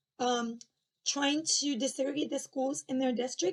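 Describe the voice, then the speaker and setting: Speaking fairly slowly with a Spanish accent, a woman has a high-pitched voice. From Argentina. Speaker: former education official and commentator. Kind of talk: personal commentary monologue. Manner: hesitant, with fillers and restarts.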